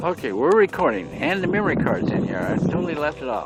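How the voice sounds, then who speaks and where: A man with an American accent at a high pitch, with audible room echo and noticeable background noise. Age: 70s. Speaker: vlogger. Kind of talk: casual narration. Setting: outdoors.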